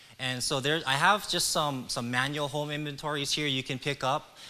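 A man at a moderate pace. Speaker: presenter. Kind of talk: presentation to a public meeting. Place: hall. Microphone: handheld.

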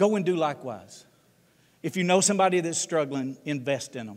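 A man with a Southern US accent speaks at a very fast pace with lively intonation. The background is quiet. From US South, Tennessee. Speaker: ministry leader and guest speaker; guest. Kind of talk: sermon. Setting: church. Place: church.

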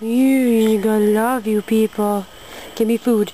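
A female-sounding put-on character voice, fairly high-pitched, flat and monotone at a fairly slow pace, over clear background noise. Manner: playful, demanding.

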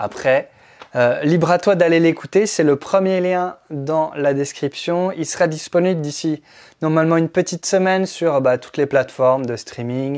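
A man talks at a moderate pace with ordinary pitch variation against a quiet background. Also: fairly high pitch for a man. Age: 30s. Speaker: musician and music production teacher. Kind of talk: vlog monologue. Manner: halting. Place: studio. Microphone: lapel.

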